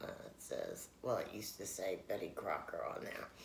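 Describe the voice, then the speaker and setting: Quiet and at a moderate pace, a man speaks with a New York accent amid audible room echo. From New York City, Queens. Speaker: vlogger. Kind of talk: casual mukbang chat. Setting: at home, late night. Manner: talking low, quiet; rambling with many fillers.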